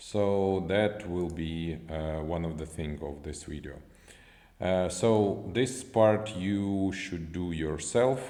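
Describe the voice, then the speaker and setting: In a non-native accent, a man speaks with a very deep, low pitch, ordinary pitch variation and a dark, mellow tone, with audible room echo. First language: not English. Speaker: software developer. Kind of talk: tutorial. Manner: halting.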